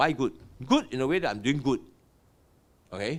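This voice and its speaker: A man speaks with a Singaporean accent and vocal fry. His pace is fairly quick. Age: 60s. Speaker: property investor and business owner. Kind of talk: podcast interview. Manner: animated.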